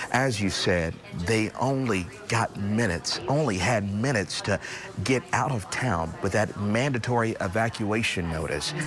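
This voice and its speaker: Against noticeable background noise, a man with a fairly low voice speaks at a moderate pace, his intonation lively and his loudness very even. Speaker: TV news reporter and anchor. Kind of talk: live TV news field report. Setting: outdoors.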